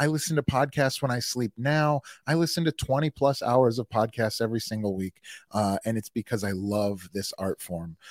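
A man of medium pitch speaks at a moderate pace in an animated tone with lively intonation, the sound dry and close with no echo on a very clean recording with a silent background. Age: 40s. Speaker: army veteran and entrepreneur. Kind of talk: casual chat.

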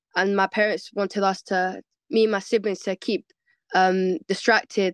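A woman with a London accent speaks at a moderate pace in a monotone, flat intonation, with a dry, close sound with no echo. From West London. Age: 20s. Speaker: MMA fighter. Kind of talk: casual interview.

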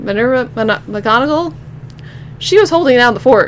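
Noticeable background noise runs through the clip. The speaker is a woman. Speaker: podcast host. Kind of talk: casual monologue. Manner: fast.

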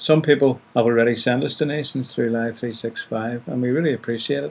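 Speaking with a Northern Irish accent, a man keeps a medium pitch, fairly even intonation and a moderate pace. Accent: Northern Irish (Ulster). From Northern Ireland, County Down. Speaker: radio host. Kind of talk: radio presenting.

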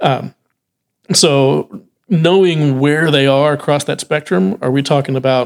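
A man speaks fairly slowly in a fairly high voice with ordinary pitch variation. It is a plain, everyday voice. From Texas. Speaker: music retail sales director. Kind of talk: casual interview chat. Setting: on location at a trade event.

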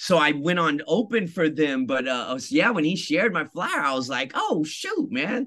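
A man with a high pitch talks at a moderate pace in an animated tone with very wide pitch swings. Noticeable background noise is present. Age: 40s. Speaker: synth-punk musician. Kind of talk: interview.

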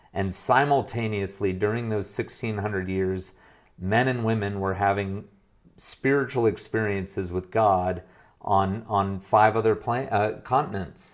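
Here a man with an unremarkable speaking voice and an American accent talks slowly-ish at a fairly low pitch, keeping his intonation fairly even. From US, moved between states. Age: 40s. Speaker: former pastor turned business coach. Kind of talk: interview conversation.

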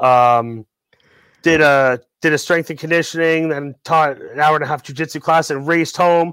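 This man has an unremarkable speaking voice, fairly high in pitch, talking at a moderate pace with fairly even intonation in a dry, close sound with no echo. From Ontario, Canada. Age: 40s. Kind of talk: casual interview chat.

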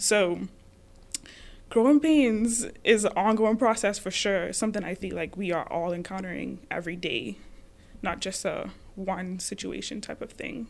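A woman's medium-pitched voice with vocal fry, ordinary pitch variation, big swings in loudness and a moderate pace. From the Bahamas. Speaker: graduate student and podcast host. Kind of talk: casual conversation.

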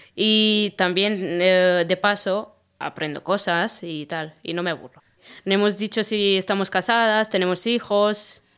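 Speaking with a Romanian accent, the voice keeps a fairly slow pace and fairly even intonation in a very clean recording with a silent background. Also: woman, medium pitch for a woman. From Romania, Constanța. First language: Romanian (speaking Spanish). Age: 30s. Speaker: podcast co-host, cleaning worker. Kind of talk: casual chat. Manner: hesitant, many fillers.

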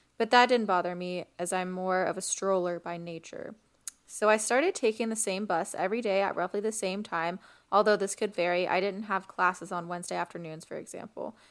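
A woman with an unremarkable speaking voice talks at a medium pitch and fairly even intonation on a very clean recording with a silent background. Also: fairly quick pace. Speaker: podcast host. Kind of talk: casual podcast chat with reading Reddit stories aloud. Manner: playful, laughing banter.

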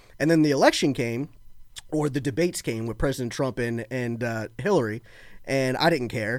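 A plain, everyday voice from a man at medium pitch, with ordinary pitch variation and a moderate pace, on a very clean recording with a silent background. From Florida (born in Baltimore). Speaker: political guest, conservative podcaster. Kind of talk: casual political conversation.

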